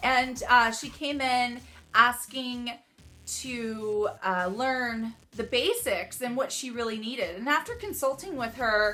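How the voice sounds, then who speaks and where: Loud and animated, a woman speaks fairly slowly at a high pitch in a bright, sharp tone with ordinary pitch variation. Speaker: makeup artist. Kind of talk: makeup tutorial.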